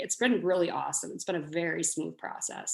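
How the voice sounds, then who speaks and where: Over a quiet background, a woman with an American accent uses an ordinary speaking voice at a medium pitch with ordinary pitch variation. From US Midwest (La Crosse, Wisconsin). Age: 20s. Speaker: home baker. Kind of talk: casual interview.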